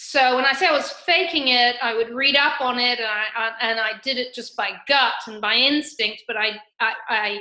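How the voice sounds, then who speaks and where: A woman speaks in an English accent at a high pitch. Her pace is fairly slow. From England, raised also in Argentina. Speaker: financial advisor, former corporate sales. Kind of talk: interview conversation.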